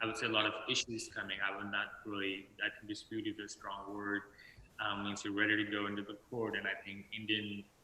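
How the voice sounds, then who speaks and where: Over noticeable background noise, a man talks at a fairly quick pace in a fairly low pitch with monotone, flat intonation. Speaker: litigation lawyer. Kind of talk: panel discussion. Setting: video call. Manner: halting, many fillers. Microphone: too quiet.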